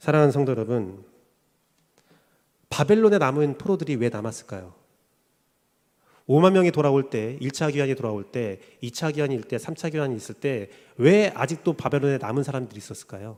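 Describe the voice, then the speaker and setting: On a very clean recording with a silent background, a man with a fairly high pitch talks at a fairly quick pace with lively intonation and long, frequent pauses. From South Korea, Daejeon (Chungcheong region). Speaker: pastor. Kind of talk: sermon.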